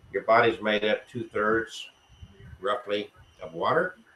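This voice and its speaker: A man at a moderate pace. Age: 60s. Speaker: spiritualist church host. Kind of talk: livestream talk.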